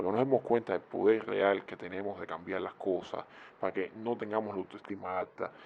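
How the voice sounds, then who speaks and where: The voice carries a Cuban accent, with fairly even intonation at a moderate pace. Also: man. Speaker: YouTube commentator. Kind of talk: video commentary. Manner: conversational.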